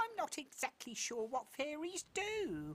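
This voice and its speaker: In a cartoonish character voice, a high-pitched speaker talks fairly slowly with very wide pitch swings. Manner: mild, hesitant.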